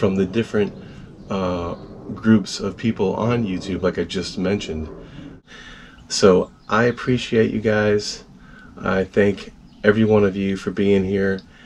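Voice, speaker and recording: The delivery is fairly slow and flat in a monotone, with light background noise. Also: man. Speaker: video channel host. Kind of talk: casual vlog chat. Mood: grateful, warm. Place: home room. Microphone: phone near.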